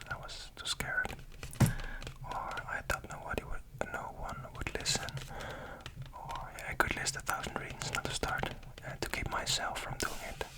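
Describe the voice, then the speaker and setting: A man's breathy whisper at a moderate pace, with long, frequent pauses and noticeable background noise. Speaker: ASMR YouTuber. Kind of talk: ASMR whisper ramble. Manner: whispered, close-up, breathy.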